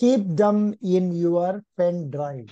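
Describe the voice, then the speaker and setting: Against a quiet background, a man speaks very slowly at a high pitch with ordinary pitch variation. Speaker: exam coaching teacher. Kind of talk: lecture. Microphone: video call.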